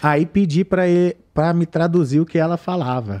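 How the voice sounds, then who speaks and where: A man talks with lively intonation and a dark, mellow tone. The background is quiet. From Brazil. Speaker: YouTuber and gamer; YouTuber, gamer. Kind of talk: casual chat. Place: studio. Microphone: studio mic.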